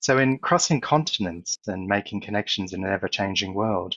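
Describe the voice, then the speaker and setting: The speaker has an Australian accent and ordinary pitch variation. The pace is moderate. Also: man. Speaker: corporate executive and speaker. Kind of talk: conference talk.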